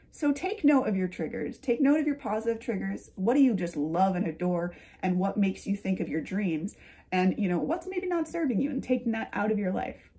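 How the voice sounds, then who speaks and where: A woman speaks at a fairly quick pace, her pitch swinging very widely. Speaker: lifestyle YouTuber and author. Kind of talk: casual vlog monologue. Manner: chatty, laughing. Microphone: phone near.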